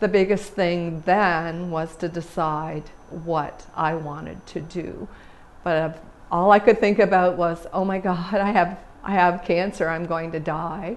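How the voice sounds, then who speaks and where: A woman talks in a plain, everyday voice with a Canadian accent. Her pitch is fairly low, her pace fairly slow, and her intonation fairly even. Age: 60s. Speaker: cancer survivor. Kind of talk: personal testimony.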